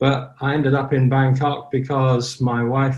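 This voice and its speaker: A somewhat breathy man against a quiet background. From Ireland. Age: 70s. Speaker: online community moderator. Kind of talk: interview.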